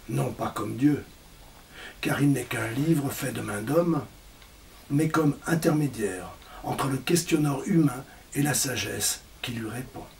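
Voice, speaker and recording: Over noticeable background noise, a man with a fairly high pitch and ordinary pitch variation talks at a fairly slow pace, leaving long, frequent pauses. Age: 60s. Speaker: presenter of a spiritual book. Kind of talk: presentation talk. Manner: formal.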